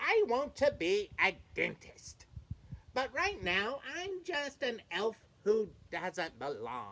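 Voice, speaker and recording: This female-sounding, put-on character voice sits at a fairly high pitch and moves at a very slow pace. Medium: read story.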